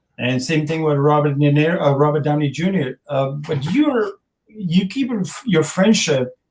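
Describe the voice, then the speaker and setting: A somewhat breathy man speaks at a moderate pace with a fairly high pitch and ordinary pitch variation. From Afghanistan. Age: 50s. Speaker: actor. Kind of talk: interview. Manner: halting.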